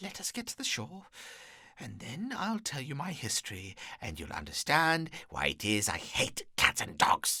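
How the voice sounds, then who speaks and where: In a shaky, put-on character voice with a fairly high pitch, a man speaks at a moderate pace on a very clean recording with a silent background. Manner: passionate, upset.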